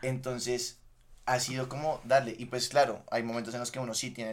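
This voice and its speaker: A man at a very fast pace, with monotone, flat intonation. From Colombia, Bogotá. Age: 20s. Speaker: podcast guest, former footballer. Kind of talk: casual chat.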